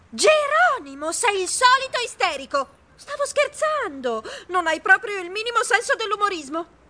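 A put-on character voice that sounds female, squeaky and extremely high-pitched, moves at a moderate pace with very wide pitch swings. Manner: annoyed, squeaky.

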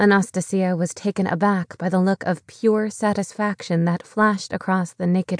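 A woman speaks in a dramatic tone over a quiet background. Her intonation stays flat and monotone. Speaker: audiobook narrator. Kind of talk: audiobook narration of a dramatic novel, reading aloud with character dialogue. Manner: expressive, dramatic storytelling, tense and emotional at the betrayal scene; measured, steady pace that shifts to sharp, urgent voices for quoted dialogue.

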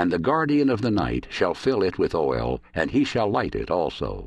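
A man speaks in a solemn tone with vocal fry. His pace is fairly slow and the background is quiet. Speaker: audiobook narrator. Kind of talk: dramatic audiobook narration of prose poetry, read aloud. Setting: studio. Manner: solemn, measured and lyrical, with a prophetic, reverent cadence.

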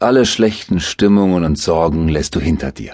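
A man speaks at a fairly slow pace in a soothing, calm tone with lively intonation. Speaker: audiobook narrator. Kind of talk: guided meditation. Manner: slow, soothing, calm; hypnotic, gently paced with soft repetition.

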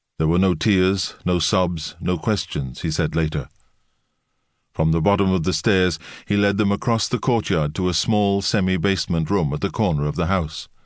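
Against a quiet background, a man with a very deep, low pitch speaks at a moderate pace, his loudness very even and his pitch varying in an ordinary way. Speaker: audiobook narrator. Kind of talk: scripted audiobook narration of history, dramatic at the murder scene. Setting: studio. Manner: measured, grave, suspenseful storytelling pace; shifts into quoted dialogue for Yurovsky and Alexandra.

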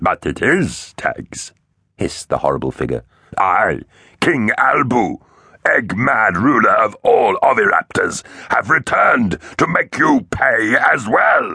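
A man puts on a raspy character voice with hissing sounds. He talks at a fairly slow pace. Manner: hissing, menacing.

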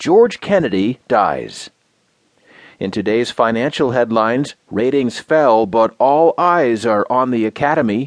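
With a plain, everyday voice, a man of medium pitch speaks at a fairly slow pace using lively intonation, the sound dry and close with no echo against a quiet background. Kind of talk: news reading. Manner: formal, even-paced, polished newsreader delivery; neutral and steady, with a crisp headline-style cadence.

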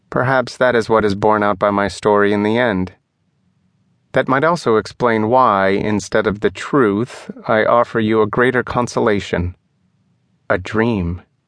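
A man with an unremarkable speaking voice, fairly low in pitch with ordinary pitch variation, at a fairly slow pace against a quiet background. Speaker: audiobook narrator.

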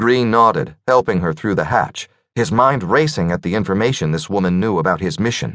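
The delivery is plain reading aloud. The background is quiet.

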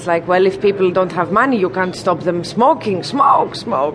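Noticeable background noise runs behind the recording. A woman speaks over it at a medium pitch. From Greece. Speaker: comedian. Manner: casual and wry.

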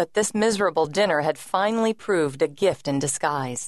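In a dramatic, menacing tone, a woman speaks at a moderate pace with lively intonation. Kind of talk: audiobook narration of a thriller. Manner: dramatic, tense, suspenseful; measured, brooding, with a dark, menacing edge.

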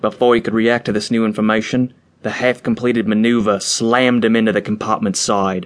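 Fairly even intonation marks this person reading aloud in a natural voice.

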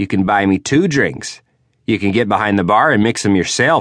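A man with vocal fry speaks at a fairly low pitch with very wide pitch swings. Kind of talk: audiobook narration, first-person hard-boiled detective fiction read aloud.

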